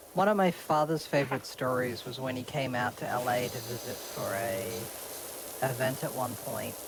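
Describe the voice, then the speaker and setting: Noticeable background noise and a moderate pace. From eastern Australia. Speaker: streamer. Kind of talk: casual chat.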